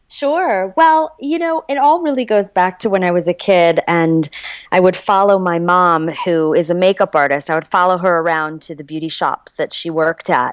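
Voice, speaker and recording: At a moderate pace with hardly any pauses, a woman talks in a plain, everyday voice of medium pitch and lively intonation, the sound dry and close with no echo. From US Midwest, Chicago. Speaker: entrepreneur and intimacy coach. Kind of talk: interview.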